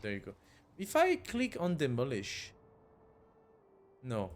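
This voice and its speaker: Talking at a fairly slow pace, a man lets his pitch swing very widely. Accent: non-native. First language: not English. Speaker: gaming YouTuber. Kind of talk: let's play gameplay commentary. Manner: hesitant, many fillers.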